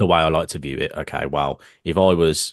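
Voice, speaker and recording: With a British accent and a very deep, low pitch, a man speaks at a fairly quick pace over a quiet background. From United Kingdom. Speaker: trading live stream co-host. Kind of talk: live stream market discussion.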